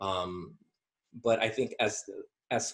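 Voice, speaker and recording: A man is talking. He has an American accent. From Southern California, US. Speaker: podcast guest. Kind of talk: casual discussion. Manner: halting, many fillers.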